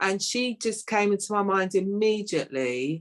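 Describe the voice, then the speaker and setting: A woman speaks with a London accent. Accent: London, local English. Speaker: playwright. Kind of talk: interview.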